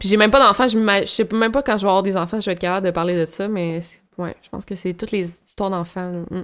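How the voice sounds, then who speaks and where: The very clean recording with a silent background carries very fast speech with fairly even intonation and big swings in loudness. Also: woman, medium pitch for a woman. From Quebec. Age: 20s. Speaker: YouTuber. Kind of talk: casual interview.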